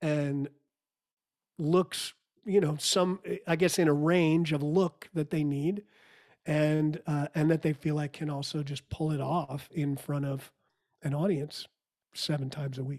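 A man with an American accent talks at a fairly slow pace and a fairly high pitch, with fairly even intonation and an unremarkable speaking voice. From outside New York City. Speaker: business coach and musician. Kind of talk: casual interview.

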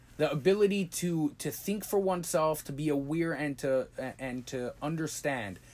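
On a very clean recording with a silent background, a man with an ordinary speaking voice talks at a moderate pace, his fairly high pitch showing ordinary variation. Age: 20s. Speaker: podcast co-host, Torah study partner. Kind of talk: casual religious study chat.

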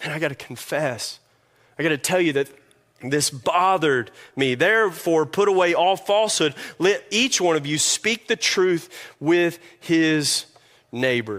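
With a Kentucky accent, a man with a fairly high pitch speaks at a fairly slow pace with lively intonation and long, frequent pauses, on a very clean recording with a silent background. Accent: Kentucky Southern US. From Kentucky, US. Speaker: lead pastor. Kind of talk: sermon. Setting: church.

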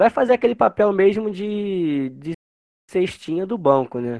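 A man in an ordinary speaking voice talks with lively intonation, keeping a moderate pace. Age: 20s. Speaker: basketball fan page owner, journalist. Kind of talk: casual chat.

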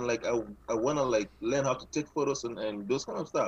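Speaking at a fairly quick pace, a man with a Ghanaian accent has a fairly high pitch. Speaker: photographer and filmmaker. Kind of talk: casual interview. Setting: video call.

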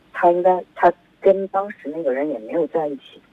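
A man speaks at a moderate speed while noticeable noise sits in the background. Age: 20s. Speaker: caller. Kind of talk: phone-in chat. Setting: phone call. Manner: hesitant. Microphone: voice-changed line.

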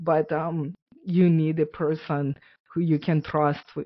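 A woman's very deep, low voice in a Russian accent, with monotone, flat intonation. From Ukraine. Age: 40s. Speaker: author and abuse survivor. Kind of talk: testimony.

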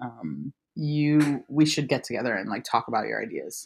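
The speaker is a woman. The background is quiet. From Trinidad. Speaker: graphic designer. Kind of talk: casual interview.

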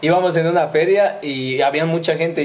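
Fairly quickly and with fairly even intonation, a man talks in a plain, everyday voice. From Mexico City. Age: 20s. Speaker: missionary. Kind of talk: casual interview.

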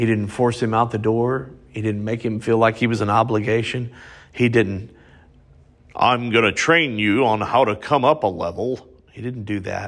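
A man with a medium-pitched, unremarkable speaking voice talks at a moderate pace on a very clean recording with a silent background. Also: fairly even intonation. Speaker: podcast host and motivational speaker. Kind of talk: storytelling preacher-style lesson, recounting grandfather's story. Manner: preacherly, exhorting, warm.

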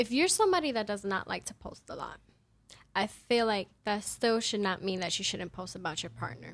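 An unremarkable speaking voice from a woman, medium in pitch, with lively intonation and a fairly quick pace. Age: 20s. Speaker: podcast guest. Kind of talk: casual chat. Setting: studio.

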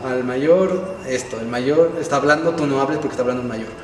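A man talks at a fairly quick pace and medium pitch. Noticeable background noise and audible room echo surround him. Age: 20s. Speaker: podcast host. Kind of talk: casual chat.

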